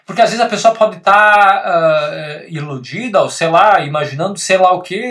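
With a bright, sharp tone and high pitch, a man speaks at a moderate pace with lively intonation. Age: 30s. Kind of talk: casual chat. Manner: halting.

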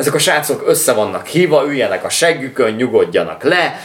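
Noticeable background noise runs behind a man speaking at a moderate pace. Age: 30s. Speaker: music podcast co-host. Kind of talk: casual chat.

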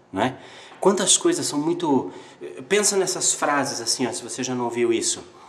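A man speaks at a moderate pace with lively intonation. Noticeable background noise can be heard. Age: 30s. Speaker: video creator. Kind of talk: motivational monologue. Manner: animated.

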